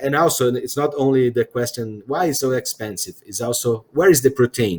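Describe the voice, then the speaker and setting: In a Portuguese accent, a man speaks at a fairly high pitch and moderate pace with ordinary pitch variation. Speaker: CEO interviewer. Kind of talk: interview conversation. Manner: halting.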